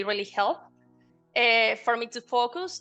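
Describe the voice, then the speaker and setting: A woman's fairly high voice with a Spanish accent at a fairly slow pace, music in the background. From Colombia. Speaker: banking consultant. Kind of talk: interview answer.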